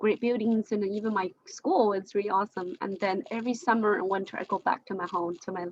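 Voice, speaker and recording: In a dry, close recording with no echo, a woman talks at a moderate pace with a medium pitch and ordinary pitch variation. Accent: Chinese. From China, Jiangxi province. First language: Chinese. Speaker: discussion participant. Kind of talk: group discussion. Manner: halting.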